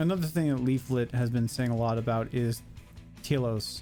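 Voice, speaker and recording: With music playing in the background, a man speaks at a moderate pace and a medium pitch. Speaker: VTuber. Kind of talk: casual reaction commentary.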